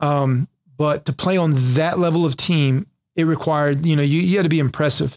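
A man with an ordinary speaking voice at a fairly high pitch, at a fairly quick pace with fairly even intonation and very even loudness, in a dry, close sound with no echo. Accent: American. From North Carolina, Jacksonville area. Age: 40s. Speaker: pastor, recovering addict, former Marine. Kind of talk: testimony.

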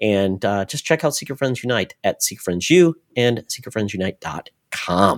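A normal speaking voice at a moderate pace, lively in intonation, with a dry, close sound and no echo. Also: man, medium pitch for a man. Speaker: podcast host. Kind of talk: casual chat.

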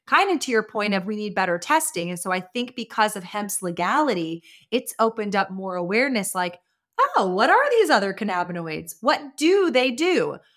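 In an ordinary speaking voice, a woman with an American accent talks at a moderate pace, fairly high in pitch, with lively intonation. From Austin, Texas. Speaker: cannabis business owner and advocate. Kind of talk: interview. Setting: remote call.

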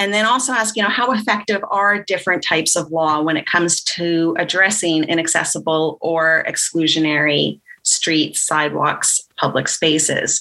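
A woman's ordinary speaking voice, fairly low in pitch, at a moderate pace with ordinary pitch variation, very even loudness and hardly any pauses. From Canada. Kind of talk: interview.

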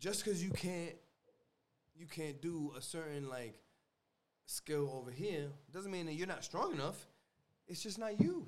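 A man talks at a moderate pace with long, frequent pauses and big swings in loudness. His pitch is high, with ordinary variation, and the room echo is audible. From New York City (the Bronx), Puerto Rican American. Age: 30s. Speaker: military veteran. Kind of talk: casual chat.

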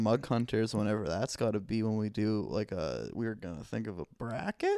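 A man with an unremarkable speaking voice talks at a medium pitch and a moderate pace. The sound is dry and close, with no echo. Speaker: podcast co-host. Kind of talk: casual chat. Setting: studio.

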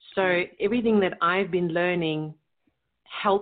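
You hear a woman with a fairly low pitch. Her pitch variation is ordinary. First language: German. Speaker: leadership coach and business strategist. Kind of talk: interview. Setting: remote call.

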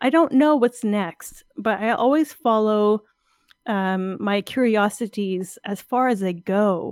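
A woman speaks very slowly at a fairly high pitch, with ordinary pitch variation and a dry, close sound with no echo. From Ontario, Canada. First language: French. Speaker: artist and science communicator. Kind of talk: interview.

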